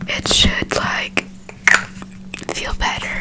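The speaker is whispering. The pace is very slow. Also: woman. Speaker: ASMR creator. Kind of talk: casual ASMR haul talk to camera. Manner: soft whispering. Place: home room. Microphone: studio mic.

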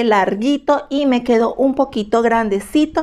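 Against a quiet background, a woman speaks at a fairly slow pace in a high voice with a dark, mellow tone and ordinary pitch variation. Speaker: fashion and beauty YouTuber; beauty YouTuber. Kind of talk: product haul review. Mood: emotional about hateful comments. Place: home room. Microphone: phone near.

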